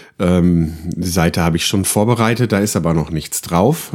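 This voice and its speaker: Very deep, low male speech at a moderate speed, its pitch varying in an ordinary way. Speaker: podcaster. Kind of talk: casual monologue. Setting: home recording room. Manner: hesitant, many fillers.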